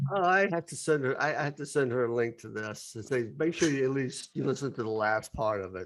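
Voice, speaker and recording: Over a quiet background, a man with an ordinary speaking voice at medium pitch talks at a fairly quick pace with lively intonation and hardly any pauses. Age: 60s. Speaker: podcast host. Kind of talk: casual chat.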